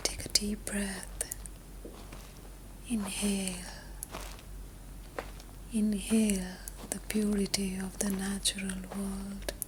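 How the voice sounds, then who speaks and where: Whispering at a very slow pace, a woman leaves long, frequent pauses against noticeable background noise. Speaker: meditation guide. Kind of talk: sleep meditation. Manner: whispered; soft-spoken, slow.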